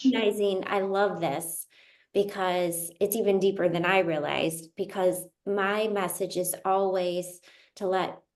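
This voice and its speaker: At a mid-range pitch, a woman talks somewhat slowly in an unremarkable speaking voice. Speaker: interview host. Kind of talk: casual interview conversation.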